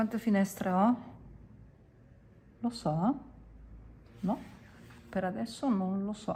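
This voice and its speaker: At a very slow pace with long, frequent pauses, a woman speaks at medium pitch with ordinary pitch variation. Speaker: watercolour teacher. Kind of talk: tutorial. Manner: casual, chatty.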